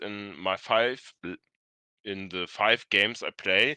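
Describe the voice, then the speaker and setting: Someone with a non-native accent and a bright, sharp tone speaks at a very slow pace, the sound dry and close with no echo over a quiet background. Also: man. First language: not English. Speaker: experienced tabletop game player. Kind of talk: live stream discussion. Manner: halting, searching for words.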